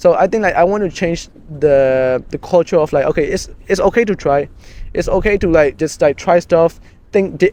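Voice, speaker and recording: The voice has a dark, mellow tone in a Burmese accent. Its pitch variation is ordinary. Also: man. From Myanmar. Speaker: community co-founder. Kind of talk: casual conversation. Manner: halting, many fillers and restarts.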